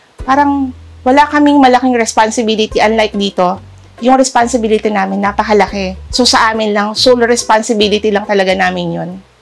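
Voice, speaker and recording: A woman rattles off her words very fast against noticeable background noise. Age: 40s. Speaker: medical technologist and community health leader. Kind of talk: personal testimony interview. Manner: halting.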